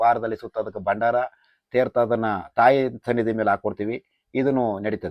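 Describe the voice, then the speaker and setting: Here is a plain, everyday voice from a man at a medium pitch. His intonation stays fairly even. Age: 30s. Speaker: temple oracle. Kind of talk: explanation to camera.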